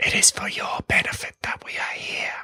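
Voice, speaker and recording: Someone whispers in a put-on character voice at a moderate pace. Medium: read story.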